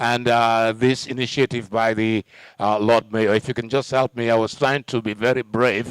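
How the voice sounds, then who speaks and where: A man speaks at a moderate pace. The sound is dry and close, with no echo. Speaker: master of ceremonies at a public council meeting. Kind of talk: public address. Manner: loud.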